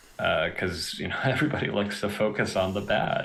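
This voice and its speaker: Lively intonation in an American accent, with noticeable background noise. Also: man. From US Northeast, western Massachusetts. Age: 20s. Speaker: artist. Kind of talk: casual chat. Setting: live stream.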